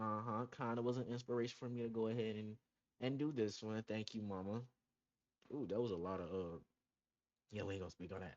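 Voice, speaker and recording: Racing at a very fast pace, a man speaks at a fairly low pitch. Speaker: podcast host. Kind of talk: casual solo podcast monologue. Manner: halting, stumbles over words.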